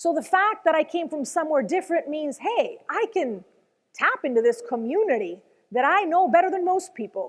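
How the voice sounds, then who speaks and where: Speaking at a moderate pace in a slight Venezuelan accent, a woman with an extremely high pitch sounds animated, her pitch swinging very widely. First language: Spanish. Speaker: motivational speaker, former news anchor. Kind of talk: motivational talk.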